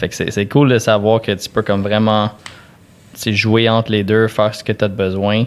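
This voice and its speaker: Monotone, flat intonation comes at a moderate pace. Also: man. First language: English (speaking French). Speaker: podcast host. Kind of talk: casual chat.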